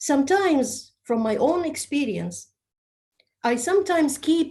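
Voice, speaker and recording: Speaking with an Egyptian accent, a woman talks at a fairly slow pace with very wide pitch swings. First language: Arabic. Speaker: public speaking trainer. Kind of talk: training session talk.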